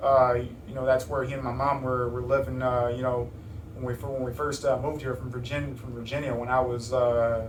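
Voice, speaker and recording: A man with an American accent speaks at medium pitch and a fairly quick pace in monotone, flat intonation, with audible room echo and noticeable background noise. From Chicago area, Illinois. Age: 20s. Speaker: rapper. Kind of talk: interview. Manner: halting, many repetitions and fillers.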